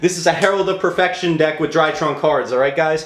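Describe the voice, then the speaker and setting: Noticeable background noise behind a man with a fairly high pitch. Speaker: YouTube card game content creator. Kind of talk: deck profile tutorial. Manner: fast; animated, casual.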